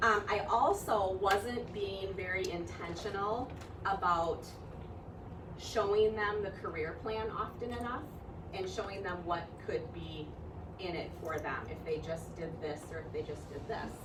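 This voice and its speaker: Through noticeable background noise and audible room echo, a woman at medium pitch speaks at a fairly slow pace with ordinary pitch variation. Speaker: direct sales team leader. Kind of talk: conference talk. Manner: loud.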